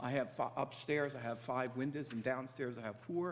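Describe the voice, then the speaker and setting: A man's voice comes through over clearly audible background noise. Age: 70s. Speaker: resident addressing a town commission. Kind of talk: public meeting testimony. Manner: halting, with frequent fillers and restarts.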